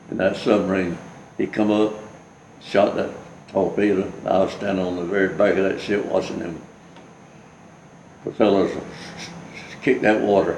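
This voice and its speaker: With a Southern US accent, a man talks at a moderate pace and a fairly low pitch, with long, frequent pauses. His intonation is monotone and flat, and the room echo is audible. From US South. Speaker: war veteran. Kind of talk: oral history interview. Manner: halting.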